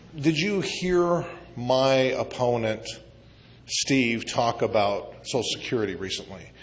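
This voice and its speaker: With an American accent, a man of medium pitch speaks at a fairly slow pace with lively intonation while noticeable background noise plays. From US Midwest. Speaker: congressional candidate. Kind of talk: candidate forum answers. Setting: community meeting banquet room.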